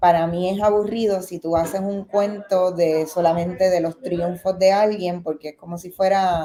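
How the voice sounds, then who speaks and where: A woman with a Puerto Rican accent speaks at a medium pitch and a moderate pace, with hardly any pauses. Her intonation is flat and monotone, while her loudness swings widely. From Puerto Rico. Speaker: documentary film director. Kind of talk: interview.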